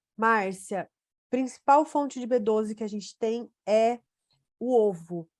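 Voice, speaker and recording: Against a quiet background, a woman uses a normal speaking voice with a fairly high pitch at a fairly slow pace, the sound dry and close with no echo. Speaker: nutrition doctor. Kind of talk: webinar Q&A. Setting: online webinar.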